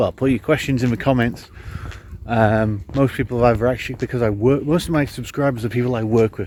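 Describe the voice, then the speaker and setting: Very fast speech from a man at medium pitch, with fairly even intonation and noticeable background noise. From northern England (Cumbria). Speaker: amateur endurance sports vlogger. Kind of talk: casual Q&A vlog. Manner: casual, lots of ums and uhs.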